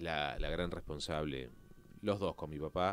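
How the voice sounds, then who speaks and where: Fairly slow and fairly even in intonation, a man talks in a very deep, low voice. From Argentina. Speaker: actor and presenter; actor, presenter. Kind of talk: interview. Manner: halting. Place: studio. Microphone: studio mic.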